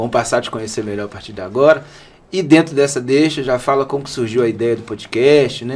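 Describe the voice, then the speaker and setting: A man talks at a moderate pace and a medium pitch, with ordinary pitch variation. He has an ordinary speaking voice. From Belo Horizonte, Minas Gerais, Brazil. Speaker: podcast co-host. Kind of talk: podcast conversation.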